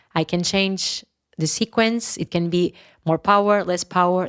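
A woman with a Portuguese accent, fairly even intonation and a moderate pace, on a very clean recording with a silent background and a dry, close sound with no echo. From Portugal, Porto. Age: 30s. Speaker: yoga teacher. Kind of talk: interview.

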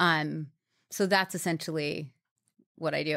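In an American accent, a woman speaks at a moderate pace with fairly even intonation. Her fairly low voice has a bright, sharp tone, in a very clean recording with a silent background. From New York. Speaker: brand marketing executive and entrepreneur. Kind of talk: interview. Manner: conversational with frequent fillers.

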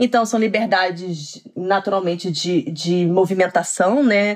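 A woman is speaking. Her pace is very slow. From Brazil, Petrópolis (Rio de Janeiro state). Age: 30s. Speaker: HR professional, immigrant. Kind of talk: casual interview conversation.

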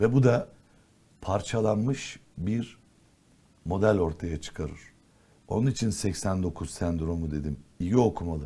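Somewhat breathy and very deep, a man talks at a very slow pace with lively intonation, a dark, mellow tone and long, frequent pauses, recorded very cleanly against a silent background. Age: 60s. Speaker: politician. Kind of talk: talk show interview. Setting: TV studio.

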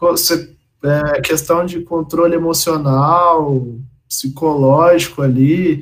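Speaking very slowly, a man uses a fairly high pitch and fairly even intonation. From Brazil, Minas Gerais (Campo Belo). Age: 20s. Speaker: professional poker player. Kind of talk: casual interview.

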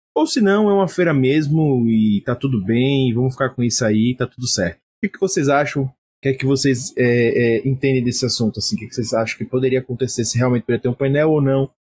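Here a man talks at a fairly quick pace with a medium pitch and ordinary pitch variation. His voice is somewhat breathy, and the sound is dry and close with no echo. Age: middle-aged. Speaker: podcast host. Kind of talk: casual chat.

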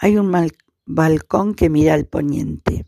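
The delivery is very slow, with ordinary pitch variation. The sound is dry and close, with no echo. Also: woman. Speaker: narrator reading aloud. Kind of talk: literary audiobook reading of a short story, narrated in third person. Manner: measured, formal, even-paced narration with a dry, understated tone.

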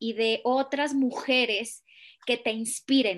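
Her voice is an unremarkable speaking voice, fairly high in pitch, with fairly even intonation. The woman speaks against a quiet background. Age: 30s. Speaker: podcast host. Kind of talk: interview conversation.

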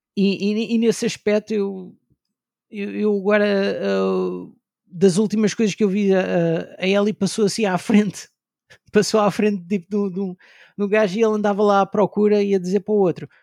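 In a very clean recording with a silent background and a dry, close sound with no echo, a man speaks at a moderate pace in a high pitch with ordinary pitch variation. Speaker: video game podcaster. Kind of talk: casual chat.

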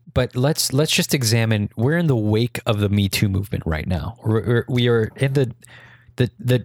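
Using a plain, everyday voice at medium pitch, a man speaks at a moderate pace with lively intonation and very even loudness, in a dry, close sound with no echo. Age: 20s. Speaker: podcast co-host. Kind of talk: casual chat.

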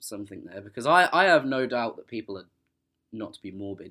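Speaking with an English accent, a man has a bright, sharp tone, lively intonation and a moderate pace. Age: 20s. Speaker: podcast guest. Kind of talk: casual interview.

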